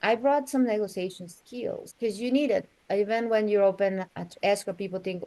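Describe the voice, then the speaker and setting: A woman speaks at a fairly quick pace in a dark, mellow tone, her pitch varying in an ordinary way. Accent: strong Mexican. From Mexico City, Mexico. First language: Spanish. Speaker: real estate agent. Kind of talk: interview.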